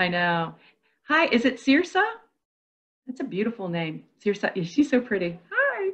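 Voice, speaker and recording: Very wide pitch swings and an upbeat, warm tone, with long, frequent pauses against a quiet background. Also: woman, moderate pace. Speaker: workshop co-facilitator. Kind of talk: online professional development workshop. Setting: video call. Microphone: earbuds.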